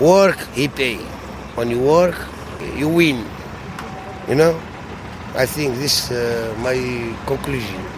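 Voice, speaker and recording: Lively intonation marks a man's speech, heard with audible room echo and noticeable background noise. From Tunisia. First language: Arabic. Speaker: antiques dealer. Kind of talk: street interview. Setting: outdoors at a flea market. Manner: halting.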